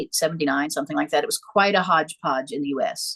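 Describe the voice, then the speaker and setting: A woman talks at a fairly quick pace. The sound is dry and close, with no echo. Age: 60s. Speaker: psychic and priestess. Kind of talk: interview. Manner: halting.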